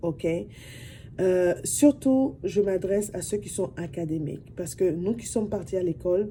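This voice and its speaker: Fairly low and dark, a woman's mellow voice carries vocal fry. She speaks fairly slowly with lively intonation. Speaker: vlogger. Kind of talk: casual talk to camera. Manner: soft-spoken; talkative.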